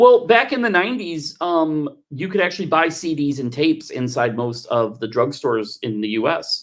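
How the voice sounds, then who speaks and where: A man with an American accent, fairly high-pitched, with very wide pitch swings, a moderate pace and hardly any pauses. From Texas. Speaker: telethon co-host. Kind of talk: casual chat. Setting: livestream.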